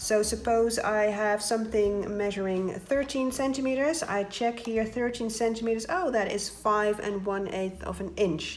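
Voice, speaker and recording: Audible room echo surrounds a woman with a Dutch accent and a fairly high pitch. She talks at a moderate pace with ordinary pitch variation and hardly any pauses. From Netherlands. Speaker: paper craft tutorial maker. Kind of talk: tutorial.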